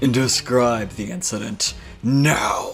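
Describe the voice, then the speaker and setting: Over clear background noise, a man performs a put-on character voice with ordinary pitch variation. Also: medium pitch for a man. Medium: game stream. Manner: slow, haughty, condescending.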